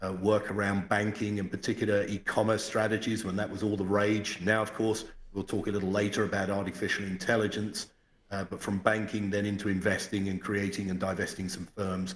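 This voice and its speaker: Delivered at a fairly quick pace with an English accent, the speech has a monotone, flat intonation. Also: man, fairly low pitch for a man. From England, London. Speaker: financial sector executive. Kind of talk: podcast interview.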